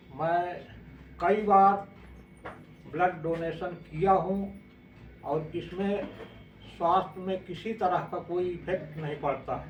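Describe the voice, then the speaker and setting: Fairly even in intonation and high in pitch, a man speaks with long, frequent pauses amid audible room echo. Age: 60s. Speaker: retired armed force member, blood donor. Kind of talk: testimony.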